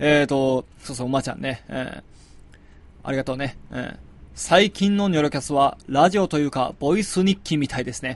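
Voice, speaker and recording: This man talks at a fairly quick pace, his fairly high pitch moving with ordinary variation. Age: 20s. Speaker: musician and podcast host. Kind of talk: casual solo talk. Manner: hesitant with many fillers.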